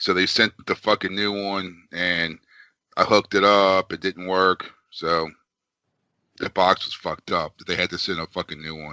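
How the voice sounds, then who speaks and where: In a put-on character voice, a man speaks in a raspy, very deep, low register with monotone, flat intonation at a moderate pace, the sound dry and close with no echo. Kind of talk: casual, profane. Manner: weary, complaining.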